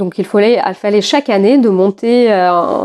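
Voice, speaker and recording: A woman's medium-pitched voice with a dark, mellow tone and a Russian accent, at a moderate pace with ordinary pitch variation, in a dry, close sound with no echo. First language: Russian (speaking French). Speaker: podcast host. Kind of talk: casual chat.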